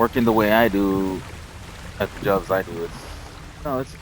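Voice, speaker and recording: A man with an American accent, fairly low in pitch, at a moderate pace, over noticeable background noise. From Texas. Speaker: gaming streamer. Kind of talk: casual chat. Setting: live stream.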